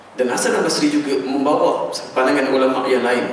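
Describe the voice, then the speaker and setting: Medium-pitched male speech with fairly even intonation, strong room echo and light background noise. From Malaysia. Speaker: religious preacher. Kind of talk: sermon. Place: church.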